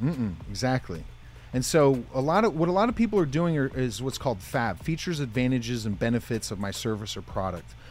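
Speaking at a fairly quick pace, a man uses a medium pitch. His pitch swings very widely. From US, northeast Pennsylvania. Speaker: motivational speaker. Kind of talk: interview.

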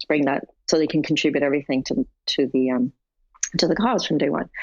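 A woman with a Canadian accent speaks at a fairly quick pace. Her voice is very deep and low, with a dry, close sound and no echo. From Canada. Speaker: tech entrepreneur. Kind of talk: interview conversation.

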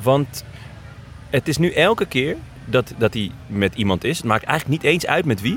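Against background music, a man of medium pitch talks at a moderate pace with very wide pitch swings. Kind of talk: casual chat. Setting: outdoors.

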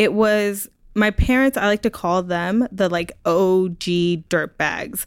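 Speaking very slowly at a medium pitch, a woman keeps her loudness very even and her pitch variation ordinary, in a very clean, dry, close recording with no echo and a silent background. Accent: American. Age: 20s. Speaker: youth outdoor nonprofit founder. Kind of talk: interview. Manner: casual, laughs often.

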